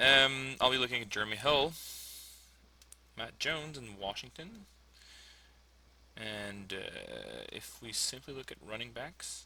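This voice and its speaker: Speaking at a fairly slow pace with long, frequent pauses, a man has a bright, sharp tone, a medium pitch with ordinary variation, and big swings in loudness. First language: French. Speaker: fantasy sports player, English teacher. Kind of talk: live commentary of own draft. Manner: hesitant, many fillers.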